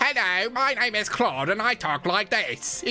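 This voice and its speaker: A put-on character voice, female-sounding and fairly high-pitched, at a moderate pace over clear background noise. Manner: silly, goofy.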